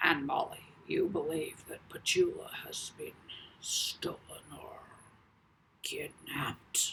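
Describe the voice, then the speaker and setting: A man whispers in a gravelly, put-on character voice at a fairly slow pace. He leaves long, frequent pauses. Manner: sympathetic, soothing.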